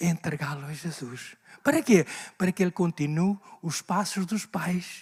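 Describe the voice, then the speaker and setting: A man with a high-pitched voice and ordinary pitch variation is recorded with a dry, close sound and no echo. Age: 70s. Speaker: pastor. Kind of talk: sermon. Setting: church. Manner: animated.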